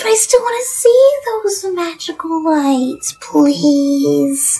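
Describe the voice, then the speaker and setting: The voice sounds whiny. It moves at a very slow pace. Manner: whiny, pleading.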